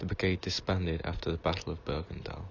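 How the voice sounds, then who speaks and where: A man speaks in a soft-spoken, somewhat breathy voice with a very deep, low pitch. His tone is calm and his intonation flat and monotone. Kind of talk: reading from reference text. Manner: calm, relaxing.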